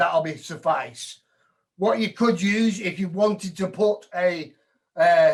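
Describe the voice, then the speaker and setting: With a northern English accent, a man speaks in fairly even intonation. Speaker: woodturning demonstrator. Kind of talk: live demo tutorial.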